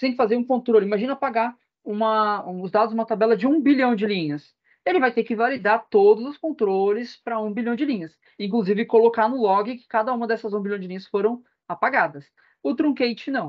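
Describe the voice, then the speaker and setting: A woman talks at a fairly quick pace in a fairly high pitch, with ordinary pitch variation and big swings in loudness. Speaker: database and BI instructor. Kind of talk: online class lecture. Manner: fast.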